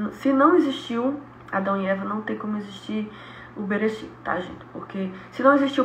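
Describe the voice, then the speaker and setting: A woman's fairly high-pitched voice is heard against noticeable background noise. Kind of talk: Bible study teaching. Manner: animated.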